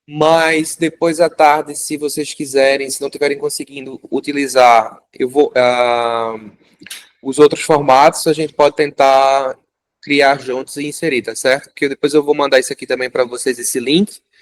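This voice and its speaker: Fairly high in pitch, a man's plain, everyday voice moves at a moderate pace with fairly even intonation, recorded dry and close with no echo. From Brazil, Recife (Pernambuco). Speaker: fisheries engineer teaching a course. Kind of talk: hands-on tutorial class.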